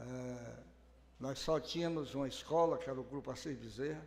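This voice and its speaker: In audible room echo, a man with a fairly high pitch talks at a fairly slow pace with fairly even intonation. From Brazil, Ceará interior. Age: 70s. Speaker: mayor. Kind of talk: public speech at council hearing. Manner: halting, repeats words.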